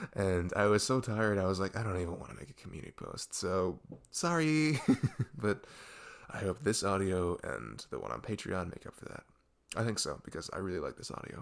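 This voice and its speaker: With a plain, everyday voice, a man speaks fairly quickly at a fairly low pitch, using lively intonation and big swings in loudness, in a very clean recording with a silent background. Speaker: ASMR roleplay voice performer. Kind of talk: casual talk to listeners.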